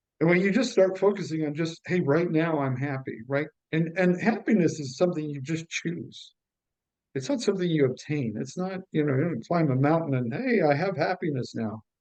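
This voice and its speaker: A man's fairly high, a normal speaking voice with an American accent, lively intonation and a moderate pace. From United States. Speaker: stand-up comedian. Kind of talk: interview.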